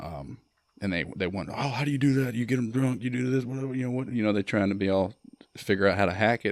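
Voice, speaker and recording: A man talks with a Mississippi accent. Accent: Mississippi Southern. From US South, Mississippi (Starkville). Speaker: Marine veteran and filmmaker. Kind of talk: podcast interview.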